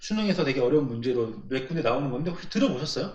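With lively intonation and a somewhat breathy quality, a man speaks at a fairly high pitch amid audible room echo. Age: 20s. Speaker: podcast co-host. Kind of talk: casual chat.

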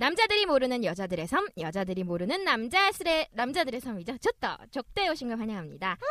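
With hardly any pauses, a woman with a high pitch speaks in very wide pitch swings, the sound dry and close with no echo. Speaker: podcast host. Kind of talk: casual chat.

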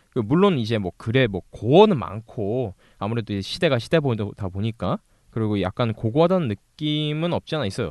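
Lively intonation runs through this man's medium-pitched voice. He has an unremarkable speaking voice and a fairly quick pace. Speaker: amateur writer, co-host. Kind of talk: casual chat.

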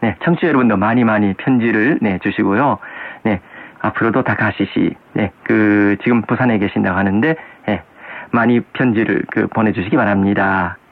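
A man talks at a fairly low pitch and a moderate pace in an unremarkable speaking voice. His loudness stays very even, and his pitch varies in an ordinary way. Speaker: radio host. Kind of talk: casual chat.

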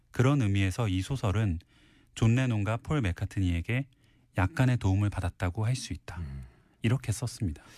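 A man speaks with lively intonation at a fairly low pitch, his tone dark and mellow and somewhat breathy. The recording is very clean with a silent background. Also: moderate pace, dry, close sound with no echo. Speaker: book columnist. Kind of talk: casual chat. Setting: studio.

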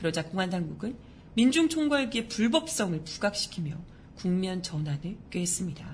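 A woman at a moderate pace, medium in pitch, with very wide pitch swings. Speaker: news show host. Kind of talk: news commentary with casual talk. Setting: live-streamed studio broadcast. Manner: chatty, animated.

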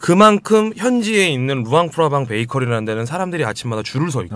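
Hardly pausing, a man with a medium-pitched voice speaks at a fairly quick pace with very wide pitch swings. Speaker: traveler and amateur singer. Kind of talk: casual chat.

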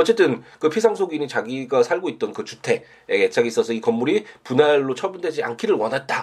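A man talks at a fairly quick pace with hardly any pauses. His fairly high pitch swings very widely. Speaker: lawyer hosting a civil law podcast. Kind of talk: solo legal lecture podcast. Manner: hesitant with many filler sounds; voice breaking off at times.

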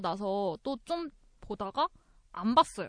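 In a plain, everyday voice of medium pitch, a woman talks at a fairly slow pace with lively intonation, the sound dry and close with no echo against a quiet background. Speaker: podcast panelist. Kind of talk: casual chat.

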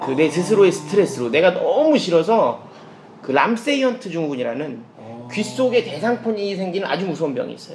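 Over noticeable background noise, a man with a high, animated voice talks fairly quickly, his pitch swinging very widely and his loudness shifting a great deal. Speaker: comedian. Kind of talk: casual chat, personal testimony.

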